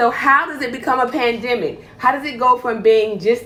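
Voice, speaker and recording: This woman sounds animated in tone. Her pitch varies in an ordinary way. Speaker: healthcare provider. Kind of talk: live stream health talk.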